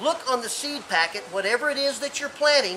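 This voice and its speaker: The man sounds enthusiastic, with a raised, projected voice and lively intonation. Noticeable background noise runs underneath. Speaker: gardening expert. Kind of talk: tutorial.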